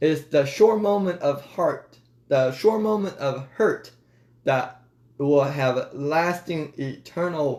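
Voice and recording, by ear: Slightly mellow tone at a slow pace, ordinary pitch variation. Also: man, fairly high pitch for a man.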